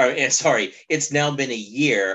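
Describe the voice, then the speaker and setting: A man speaks in a normal speaking voice, his intonation lively. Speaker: podcast co-host. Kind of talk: casual chat.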